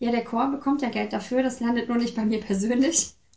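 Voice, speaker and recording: A woman's somewhat breathy voice goes at a fairly quick pace, its intonation fairly even. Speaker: interview guest, choir singer. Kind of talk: casual interview. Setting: home visit.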